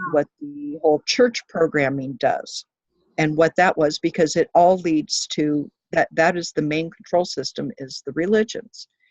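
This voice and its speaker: A woman speaks at a fairly low pitch and fairly slow pace. Her pitch varies in an ordinary way. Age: 50s. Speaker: spiritual conspiracy enthusiast. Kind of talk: casual chat. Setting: video call. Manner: soft-spoken; halting.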